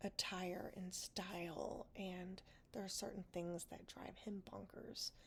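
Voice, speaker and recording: Soft-spoken and whispering, a woman speaks at a very slow pace with vocal fry. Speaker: podcast host. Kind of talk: casual diary-style talk to camera, personal podcast. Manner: soft, honest, a little funny, with whispered moments.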